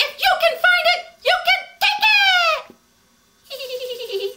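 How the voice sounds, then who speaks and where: A loud, squeaky put-on character voice speaks at a very slow pace in an extremely high pitch. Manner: loud, defiant.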